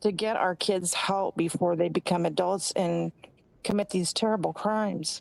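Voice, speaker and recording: On a dry, close recording with no echo, a woman talks at a moderate pace in a medium pitch, with fairly even intonation and very even loudness. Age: 60s. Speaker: caller. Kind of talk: call-in question. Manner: halting.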